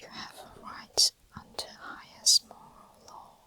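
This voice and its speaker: Someone is whispering at a fairly slow pace against noticeable background noise. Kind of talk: whispered ASMR book reading for sleep. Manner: whispered, soft-spoken.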